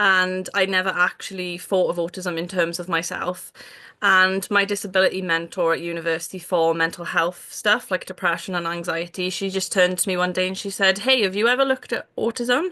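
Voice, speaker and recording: With a Welsh accent, a woman of medium pitch speaks at a fairly quick pace with hardly any pauses, fairly even intonation and a bright, sharp tone against a quiet background. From Wales. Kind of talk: casual interview chat. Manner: many fillers (um, like, yeah).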